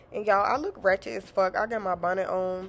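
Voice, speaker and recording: A woman talks at a medium pitch and a moderate pace. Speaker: hairstylist and beauty vlogger. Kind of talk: tutorial voiceover. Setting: home voiceover. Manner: casual, filler-heavy; stumbling.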